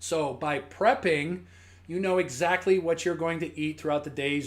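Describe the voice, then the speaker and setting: This man's pitch sits fairly high as he talks at a moderate pace. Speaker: fitness coach. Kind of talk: live-stream tutorial. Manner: halting; casual.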